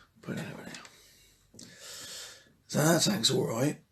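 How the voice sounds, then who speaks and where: A man's somewhat breathy voice. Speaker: motorcycle restoration vlogger. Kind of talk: casual workshop vlog. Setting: shed.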